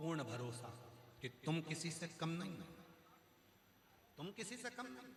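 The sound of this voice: Slow in pace, a man with a fairly high pitch speaks in a bright, sharp tone with lively intonation.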